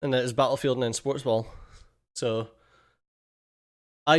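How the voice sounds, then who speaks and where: Heard over a silent background in a very clean recording, a man with a Scottish accent speaks at medium pitch. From Scotland. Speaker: gaming streamer. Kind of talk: live stream chat. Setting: home office. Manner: casual, animated.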